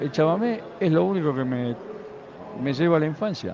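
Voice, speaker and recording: A man is heard with noticeable background noise and audible room echo. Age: 60s. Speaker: guitarist musician. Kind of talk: backstage interview. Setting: festival.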